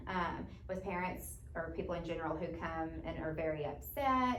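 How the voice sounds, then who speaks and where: A woman speaks with an American accent. Audible room echo and noticeable background noise surround her voice. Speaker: teaching job candidate. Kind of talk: job interview. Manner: loud.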